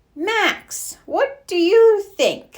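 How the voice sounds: A woman uses a put-on character voice at an extremely high pitch for a woman, talking at a very slow pace with lively intonation.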